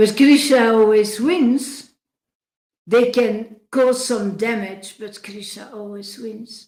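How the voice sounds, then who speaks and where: A woman's fairly high voice with a Dutch accent, very slow and fairly even in intonation. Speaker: spiritual devotee livestreamer. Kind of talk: livestream talk reading chat messages. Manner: halting, many fillers and restarts; emphatic.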